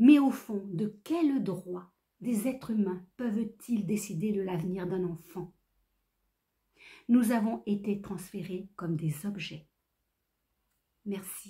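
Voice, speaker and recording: A woman talks at a very slow pace with long, frequent pauses. Her voice is somewhat breathy with a dark, mellow tone and ordinary pitch variation. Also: medium pitch for a woman. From France (Creuse), born in Réunion. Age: 60s. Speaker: activist. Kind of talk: prepared statement. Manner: formal.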